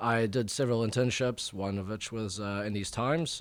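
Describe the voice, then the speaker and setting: A man with a New Zealand accent talks at a fairly quick pace with fairly even intonation and a fairly low pitch. The recording is very clean, with a silent background. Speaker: journalist. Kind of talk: interview. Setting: studio. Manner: halting, many fillers.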